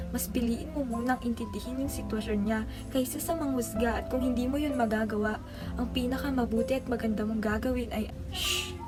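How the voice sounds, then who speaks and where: A woman talking at a fairly quick pace with music in the background. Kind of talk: spoken word poetry. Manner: fast; not very emotional.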